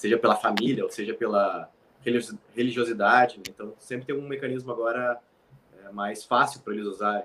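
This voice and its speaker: Long, frequent pauses break up a man's fairly quick speech. His tone is bright and sharp, his intonation fairly even, and his loudness swings widely. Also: medium pitch for a man. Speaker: military firefighter. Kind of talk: casual chat.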